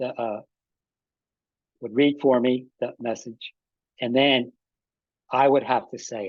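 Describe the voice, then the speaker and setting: A man's medium-pitched voice at a very slow pace, with monotone, flat intonation. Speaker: stroke survivor, aphasia advocate. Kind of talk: podcast interview answer. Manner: halting, hesitant speech with word-finding pauses.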